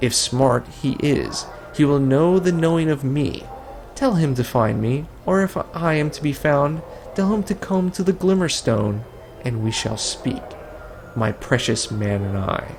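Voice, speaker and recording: Hissing through a put-on character voice at a fairly high pitch, a man speaks at a moderate pace over clear background noise. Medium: actual play. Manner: odd inverted word order, hissing.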